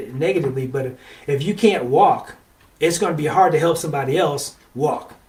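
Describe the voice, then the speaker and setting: This is an unremarkable speaking voice. A man talks at a fairly high pitch with ordinary pitch variation. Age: 60s. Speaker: relationship show host. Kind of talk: motivational talk. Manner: conversational, with many fillers.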